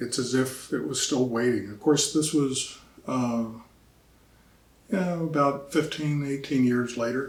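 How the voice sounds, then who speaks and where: A man with an American accent, medium in pitch, fairly slow, with long, frequent pauses and audible room echo. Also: ordinary pitch variation. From Virginia and Philadelphia. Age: 70s. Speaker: historian. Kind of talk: oral history interview. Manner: halting, with fillers.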